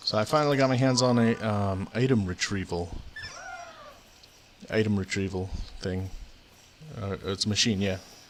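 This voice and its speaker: A soft-spoken man with long, frequent pauses, over noticeable background noise. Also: fairly low pitch for a man, ordinary pitch variation, moderate pace. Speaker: video game streamer. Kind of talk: casual gameplay commentary. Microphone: quiet mic.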